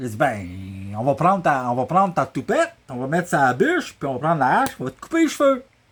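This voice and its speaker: A man talks with a Quebec accent. His intonation is lively. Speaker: storyteller. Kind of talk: oral storytelling, family anecdote. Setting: workshop. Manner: casual, humorous.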